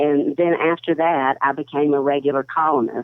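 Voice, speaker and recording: Very deep, low female voice at a moderate pace, with fairly even intonation. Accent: American. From US South (Tennessee/Georgia). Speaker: newspaper columnist. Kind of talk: casual interview chat.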